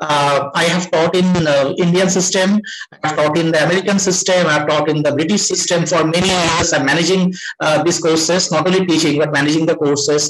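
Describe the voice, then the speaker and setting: Over noticeable background noise and audible room echo, a man talks at a fairly quick pace with a high pitch and monotone, flat intonation. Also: very even loudness. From India. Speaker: professor. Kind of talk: interview.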